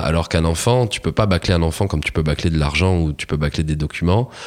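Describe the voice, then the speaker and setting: A man talks with a very deep, low pitch and ordinary pitch variation. Noticeable background noise sits behind him. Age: 30s. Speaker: podcast guest. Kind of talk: casual chat. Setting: studio.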